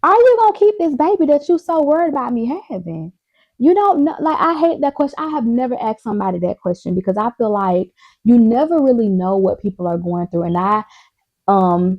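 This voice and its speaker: A woman talks loudly at a high pitch and a fairly quick pace, with very wide pitch swings. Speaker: vlogger. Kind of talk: casual chat. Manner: animated.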